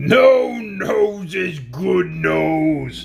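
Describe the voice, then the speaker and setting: Using a put-on character voice, a man sounds loud and booming. Clear background noise runs behind him. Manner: thundering, hysterical.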